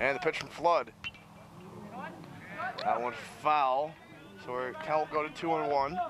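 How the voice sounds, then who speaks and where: Over noticeable background noise, a man talks at a fairly slow pace with long, frequent pauses. His fairly high pitch carries fairly even intonation. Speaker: sports broadcaster. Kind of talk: baseball play-by-play commentary.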